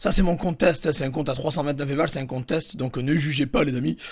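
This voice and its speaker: Here a man talks at a very fast pace, his pitch fairly high. His voice is somewhat breathy and his tone animated. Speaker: YouTuber teaching eBay dropshipping. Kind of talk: tutorial.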